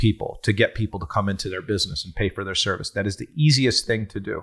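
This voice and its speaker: A very fast, somewhat breathy male voice with lively intonation, on a very clean recording with a silent background. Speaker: business consultant. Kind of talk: podcast Q&A discussion.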